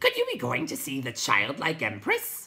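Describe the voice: Using a put-on character voice, a woman speaks at a moderate pace with an extremely low pitch, a bright, sharp tone and very wide pitch swings.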